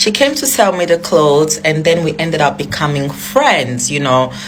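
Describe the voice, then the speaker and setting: Noticeable background noise and audible room echo surround the recording. A woman with a very deep, low pitch speaks at a moderate pace. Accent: non-native. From outside Ghana. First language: not English. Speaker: social media influencer. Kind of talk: storytelling. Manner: casual, filler-heavy.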